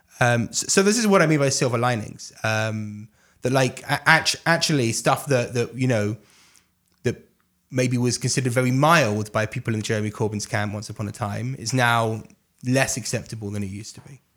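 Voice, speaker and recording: A man with an English accent and ordinary pitch variation, in a very clean recording with a silent background. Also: medium pitch for a man, moderate pace. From London, England. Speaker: politics and communications expert. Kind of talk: interview briefing.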